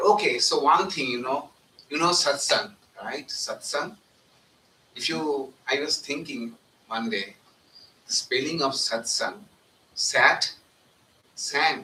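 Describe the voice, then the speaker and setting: A man at a very slow pace, with long, frequent pauses and noticeable background noise. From India, northern West Bengal. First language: Bengali. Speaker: monk. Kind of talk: satsang talk. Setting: live event at a center, live streamed.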